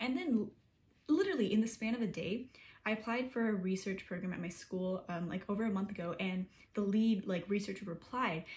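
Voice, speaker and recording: A somewhat breathy woman's voice at medium pitch, with ordinary pitch variation and a fairly quick pace. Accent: American. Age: 20s. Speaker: college student vlogger. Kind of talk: casual vlog talk. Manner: fast; animated.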